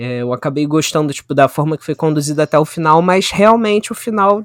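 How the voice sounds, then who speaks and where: Dry and close with no echo, a man's voice carries ordinary pitch variation. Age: 20s. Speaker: media studies graduate and photographer. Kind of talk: casual chat.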